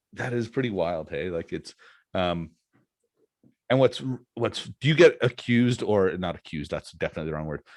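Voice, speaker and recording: At a fairly quick pace broken by long, frequent pauses, a man with a Canadian accent speaks at a medium pitch with very wide pitch swings, the sound dry and close with no echo. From Canada. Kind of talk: casual chat.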